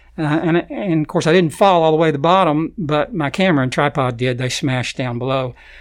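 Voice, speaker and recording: With an Arkansas accent and a fairly high pitch, a man speaks with ordinary pitch variation and hardly any pauses. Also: fairly quick pace. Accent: Southern US (Arkansas). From Arkansas, Fayetteville. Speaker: nature photographer. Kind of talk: interview. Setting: studio.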